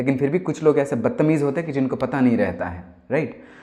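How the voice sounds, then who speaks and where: A man with a fairly high pitch has a dark, mellow tone. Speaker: singer-songwriter. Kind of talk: casual monologue. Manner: halting.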